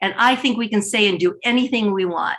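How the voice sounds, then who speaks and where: Bright and sharp in tone, a woman speaks at a moderate pace with a fairly high pitch, lively intonation and an animated tone. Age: 60s. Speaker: stand-up comedian. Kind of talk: stand-up. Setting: video call.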